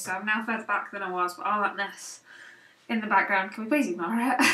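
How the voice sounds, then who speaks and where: Noticeable background noise accompanies a woman who talks very fast. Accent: British. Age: 20s. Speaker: beauty vlogger. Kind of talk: casual product haul. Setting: home office. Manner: hesitant, many fillers.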